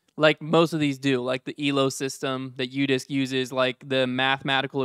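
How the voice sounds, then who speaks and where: A man's bright, sharp tone comes through dry with no echo against a quiet background. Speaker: podcast host. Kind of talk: casual debate chat. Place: studio. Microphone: studio mic.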